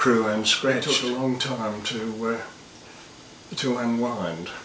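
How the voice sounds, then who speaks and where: Noticeable background noise surrounds a man speaking at a fairly slow pace. His pitch is medium and his intonation fairly even. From Australia. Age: 80s+. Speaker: war veteran. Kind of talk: interview answer.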